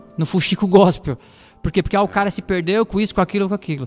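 Recorded dry and close with no echo, a man's high voice shows ordinary pitch variation over background music. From Osasco, São Paulo, Brazil. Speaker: gospel musician and drum teacher. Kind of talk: casual interview chat.

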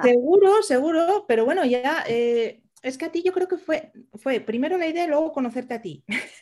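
At a moderate pace, a woman with a high pitch and a dark, mellow tone speaks with lively intonation. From Asturias, Spain. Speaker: podcast co-host, virtual assistant. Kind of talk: casual chat.

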